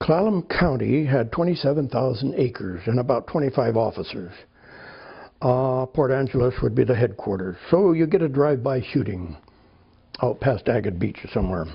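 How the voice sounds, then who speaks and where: A man with an American accent speaks at a medium pitch and a moderate pace, with vocal fry. His pitch swings very widely while his loudness stays very even. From California. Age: 80s+. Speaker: author and retired police officer. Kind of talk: interview. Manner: halting.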